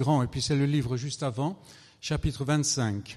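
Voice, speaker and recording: A quiet background sits behind this voice. It sounds somewhat breathy, and its pitch varies in an ordinary way. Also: man. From France. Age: 70s. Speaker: visiting preacher. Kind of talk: sermon.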